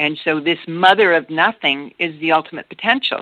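Her pitch fairly low, a woman speaks at a moderate pace. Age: 60s. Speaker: shamanic healer and grandmother elder. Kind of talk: spiritual interview. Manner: halting, with filler words.

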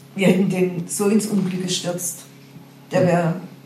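A fairly low-pitched woman at a moderate pace with fairly even intonation, amid noticeable background noise and audible room echo. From Karlsruhe area, Baden, Germany. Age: 60s. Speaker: retiree telling her faith story. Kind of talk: testimony.

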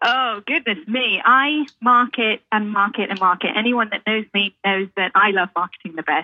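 A woman with a British accent speaks at a fairly high pitch with ordinary pitch variation. She leaves hardly any pauses. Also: moderate pace. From UK. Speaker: realtor. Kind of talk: radio interview.

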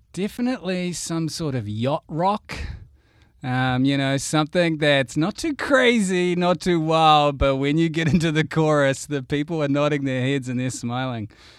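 On a very clean recording with a silent background, a man with a New Zealand accent speaks at a moderate pace in a fairly high pitch. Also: ordinary pitch variation. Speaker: guest host. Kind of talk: casual chat.

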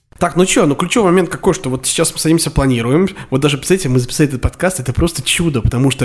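An animated man's voice with lively intonation against noticeable background noise. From Russia, Samara. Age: 20s. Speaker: podcast co-host. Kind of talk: casual chat. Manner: animated, fast.

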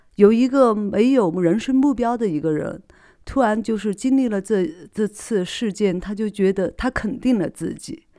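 A woman's dark, mellow voice at medium pitch, fairly slow pace and lively intonation, on a very clean recording with a silent background. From Sichuan, China. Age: 30s. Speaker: podcast host. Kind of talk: solo motivational monologue. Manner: hesitant, many fillers and repetitions.

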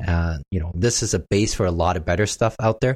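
On a very clean recording with a silent background, a man with a plain, everyday voice speaks at a fairly quick pace with lively intonation. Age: 30s. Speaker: real estate investor and options trader. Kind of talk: interview.

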